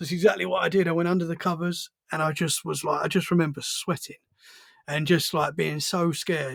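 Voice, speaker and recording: This man talks at a fairly quick pace in a British accent. His pitch is high, and his intonation stays fairly even. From Essex, England. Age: 30s. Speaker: podcast host. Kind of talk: casual chat.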